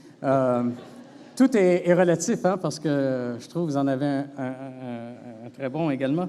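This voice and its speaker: A man with a Quebec accent at a very slow pace, with ordinary pitch variation, noticeable background noise and audible room echo. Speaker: veterinary professor. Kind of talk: conference talk. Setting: stage with audience. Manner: hesitant, many fillers.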